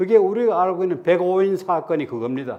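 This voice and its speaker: The voice belongs to a man and sits high in pitch. It has a dark, mellow tone. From Andong, North Gyeongsang, Korea. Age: 80s+. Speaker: guest lecturer, son of independence activist. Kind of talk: lecture. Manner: halting, with repetitions and fillers.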